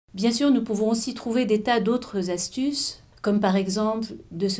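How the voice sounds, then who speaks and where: A woman's fairly high, somewhat breathy voice, dark and mellow in tone, at a moderate pace. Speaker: author of a mindfulness eating book. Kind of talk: explanatory talk to camera about mindful eating.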